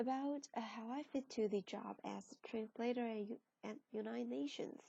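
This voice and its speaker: Somewhat breathy, a woman speaks with a fairly high pitch. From China. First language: Chinese. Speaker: translation student. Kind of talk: class presentation. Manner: halting.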